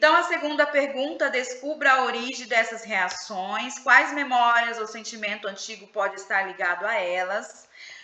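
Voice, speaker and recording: A woman's high voice at a fairly slow pace with ordinary pitch variation, amid noticeable background noise. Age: 40s. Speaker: psychoanalyst leading a book study group. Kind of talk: live online book study session.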